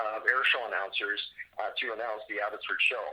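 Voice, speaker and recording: A man's voice over noticeable background noise. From Canada, Abbotsford, British Columbia. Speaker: airshow announcer. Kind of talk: interview answer. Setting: podcast recording.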